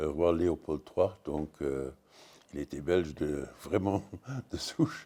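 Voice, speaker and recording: In a Luxembourgish accent, a man with a dark, mellow tone and a very deep, low pitch speaks at a very slow pace. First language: Luxembourgish (speaking French). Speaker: comics writer. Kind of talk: panel discussion. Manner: halting, many hesitations.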